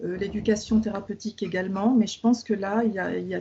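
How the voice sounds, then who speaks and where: A woman talks at a very fast pace in a medium pitch. Her intonation stays monotone and flat. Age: 50s. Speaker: patient. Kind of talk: interview. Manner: halting.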